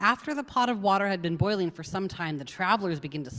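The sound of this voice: Unforced voice reading a text aloud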